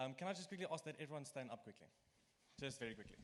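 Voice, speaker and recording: A man with an Afrikaans accent at a very fast pace, his pitch swinging very widely. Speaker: student committee member. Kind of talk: welcome talk to students. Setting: lecture room.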